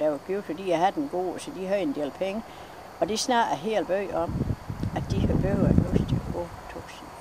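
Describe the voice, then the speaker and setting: Noticeable background noise runs under a woman's voice at medium pitch. She speaks at a fairly slow pace with very wide pitch swings. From West Jutland, Denmark. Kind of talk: interview answer.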